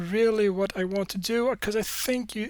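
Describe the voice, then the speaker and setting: In a very clean recording with a silent background, a woman talks with a Swedish accent and fairly even intonation. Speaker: podcaster and YouTube creator. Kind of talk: solo podcast monologue. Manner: halting, many fillers and repeats.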